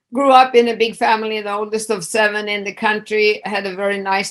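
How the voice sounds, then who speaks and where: In a Swedish accent, a woman of medium pitch speaks with monotone, flat intonation. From Sweden. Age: 60s. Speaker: addiction specialist. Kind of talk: interview. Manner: casual, hesitant with fillers.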